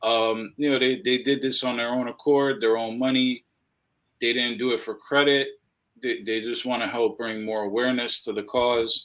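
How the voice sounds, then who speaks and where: Over a very clean, silent background, a man with an American accent speaks in a normal speaking voice at a moderate pace with fairly even intonation. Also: medium pitch for a man. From New York. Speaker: animal rights activist. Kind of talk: interview.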